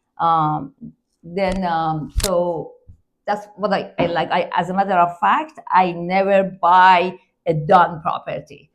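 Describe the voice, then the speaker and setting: A woman with a non-native accent speaks in a fairly low pitch with fairly even intonation. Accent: foreign. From Iran. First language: not English. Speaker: real estate investor. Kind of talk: interview. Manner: halting, hesitant.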